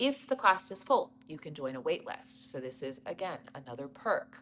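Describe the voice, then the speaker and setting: A woman's very deep, low voice with very wide pitch swings at a moderate pace. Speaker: yoga studio owner. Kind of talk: informational video. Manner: casual, with fillers.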